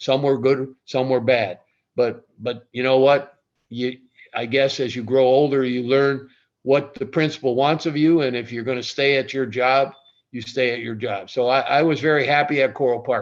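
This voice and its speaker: A man's normal speaking voice at medium pitch, with an American accent, moderate pace and fairly even intonation. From Ohio. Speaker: retired athletic director. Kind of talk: interview storytelling.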